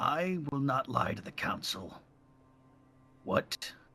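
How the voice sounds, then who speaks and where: A man does a raspy, put-on character voice. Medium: actual play. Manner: earnest, resolute.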